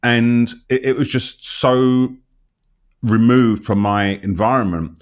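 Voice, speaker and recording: In a very clean recording with a silent background, a man talks with a London accent. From London, England. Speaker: interviewer, health channel host. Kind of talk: interview conversation.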